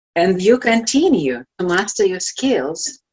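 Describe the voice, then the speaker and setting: In a Russian accent, a woman talks at a very slow pace with a medium pitch and very wide pitch swings. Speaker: life coach. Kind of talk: inspirational talk. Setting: virtual event.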